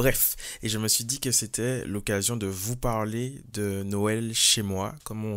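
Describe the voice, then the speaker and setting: A man in a Martinican accent, fairly low in pitch, at a fairly slow pace with fairly even intonation. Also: very clean recording, silent background. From Martinique. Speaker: podcaster and singer. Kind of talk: casual podcast monologue. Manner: hesitant, many fillers.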